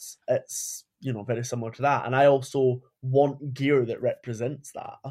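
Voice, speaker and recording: On a very clean recording with a silent background, a man with a Scottish accent speaks at a moderate pace. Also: big swings in loudness. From Scotland. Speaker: podcast guest, furry and leather community member. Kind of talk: casual chat.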